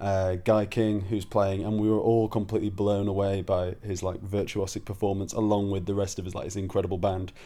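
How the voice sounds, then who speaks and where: A man's fairly low, dark and mellow voice in a Yorkshire accent, monotone and flat, with hardly any pauses. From northern England, Leeds, Yorkshire. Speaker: stage actor. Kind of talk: casual video blog. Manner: hesitant, many fillers.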